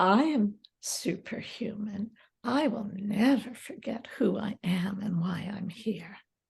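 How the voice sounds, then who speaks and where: A woman uses a put-on character voice at a medium pitch. She delivers it at a fairly slow pace. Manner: bold, proclaiming.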